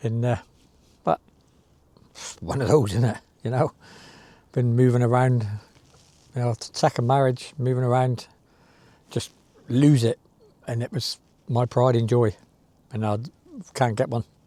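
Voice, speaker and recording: With a West Country accent, a man speaks at a moderate pace and medium pitch with fairly even intonation, long, frequent pauses, a dark, mellow tone and a dry, close sound with no echo. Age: 60s. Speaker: sea angler vlogger. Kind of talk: casual monologue to camera. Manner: halting.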